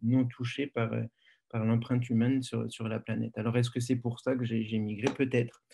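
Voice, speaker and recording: A monotone, flat intonation pairs with a dark, mellow tone in this voice. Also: man, medium pitch for a man, moderate pace. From France. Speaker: biology professor. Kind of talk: lecture. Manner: halting, many fillers.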